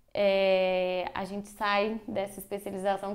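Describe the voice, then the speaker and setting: Here a woman speaks in a Minas Gerais accent at medium pitch. Her intonation is monotone and flat. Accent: Minas Gerais (mineiro). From Brazil, Minas Gerais. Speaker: dentist. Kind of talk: podcast interview.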